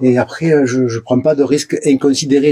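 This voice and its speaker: A man speaks with a Provençal accent. His voice is somewhat breathy, with a dark, mellow tone. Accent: southern French (Provence). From Provence, southern France. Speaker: urban explorer vlogger. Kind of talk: casual vlog narration. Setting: abandoned building, on location.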